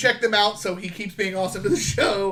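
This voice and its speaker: A man's high-pitched, animated voice over noticeable background noise. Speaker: podcast co-host. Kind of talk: casual chat.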